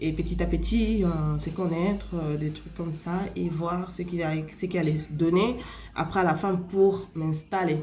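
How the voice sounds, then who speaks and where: Speaking at a fairly slow pace with a Spanish accent, a woman is heard with audible room echo and noticeable background noise. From Spain. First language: Spanish (speaking French). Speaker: vlogger. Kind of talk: casual advice talk to camera. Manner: halting, many fillers.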